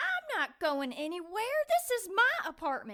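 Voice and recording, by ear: A woman does a put-on character voice at extremely high pitch with very wide pitch swings. Her tone is bright and sharp, and her pace fairly slow.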